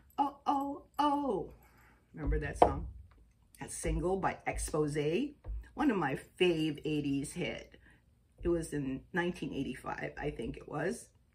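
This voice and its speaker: At a fairly slow pace, a woman talks with long, frequent pauses and big swings in loudness. Noticeable background noise runs underneath. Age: 60s. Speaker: astrology and chakra vlogger. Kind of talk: casual vlog monologue. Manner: chatty, conversational.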